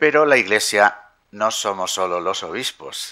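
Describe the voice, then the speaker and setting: A man's fairly low voice with a bright, sharp tone and ordinary pitch variation. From Castile, Spain (Palencia). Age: 60s. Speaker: bishop. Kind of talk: press conference.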